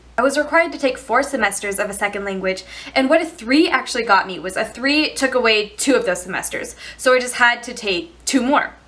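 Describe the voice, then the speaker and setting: A woman's animated, high-pitched voice with lively intonation at a fairly quick pace, over noticeable background noise. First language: Chinese. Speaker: youtube vlogger. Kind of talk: storytime monologue. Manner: casual, animated; fast.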